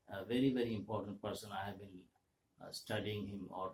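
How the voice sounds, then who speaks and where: A man's fairly low, somewhat breathy voice in a flat monotone. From India, Kolkata. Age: 70s. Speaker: vlogger. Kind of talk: monologue talk. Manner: halting.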